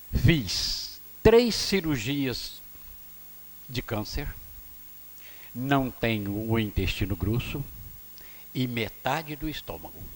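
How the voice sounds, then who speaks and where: This man has a medium pitch and lively intonation. He talks very slowly, with long, frequent pauses. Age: 70s. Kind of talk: public address at city council session. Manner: formal.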